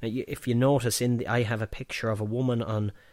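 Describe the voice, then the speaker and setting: Speaking with an Irish Midlands accent, a man keeps a fairly quick pace and medium pitch. The recording is very clean, with a silent background. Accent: Irish midlands, fairly strong rural. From Offaly, Ireland. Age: 40s. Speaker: pub owner and filmmaker. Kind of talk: casual interview chat with storytelling. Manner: chatty, storytelling, hesitant with fillers.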